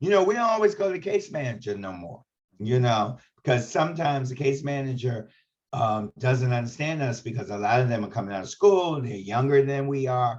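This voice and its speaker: Here a man speaks in an ordinary speaking voice at a medium pitch. His pace is fairly quick and his intonation lively. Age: 60s. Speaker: HIV advocate and trainer. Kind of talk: training webinar discussion.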